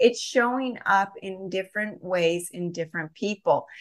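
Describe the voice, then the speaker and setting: In an ordinary speaking voice, a woman talks at a fairly slow pace with medium pitch and ordinary pitch variation. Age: 40s. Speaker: health coach and supplement business owner. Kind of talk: interview.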